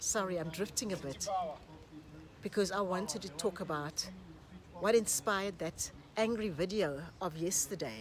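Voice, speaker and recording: Her voice has vocal fry and sits at a medium pitch, with lively intonation. The woman speaks at a fairly slow pace with long, frequent pauses. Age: 60s. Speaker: YouTuber and relationship coach. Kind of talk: casual vlog monologue.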